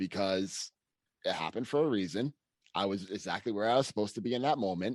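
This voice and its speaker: Against a quiet background, a man with a Boston accent speaks very fast at a fairly low pitch with ordinary pitch variation, in a dry, close sound with no echo. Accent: Boston-area. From Massachusetts, US. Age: 30s. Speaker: personal trainer. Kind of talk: podcast interview.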